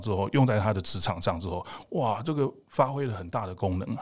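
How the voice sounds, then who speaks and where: A man with a fairly low pitch at a very fast pace, on a very clean recording with a silent background. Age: 50s. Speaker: emergency doctor and fitness coach. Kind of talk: interview conversation.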